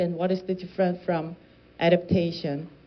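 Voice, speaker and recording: A woman speaks with a Korean accent. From South Korea. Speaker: climate policy researcher. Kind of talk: lecture. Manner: halting, with self-corrections.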